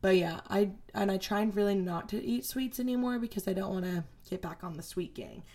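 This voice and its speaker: At a fairly quick pace, a woman with an unremarkable speaking voice talks at a medium pitch, her pitch varying in an ordinary way. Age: 20s. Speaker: podcast host. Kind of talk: casual solo chat. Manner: casual, filler-heavy.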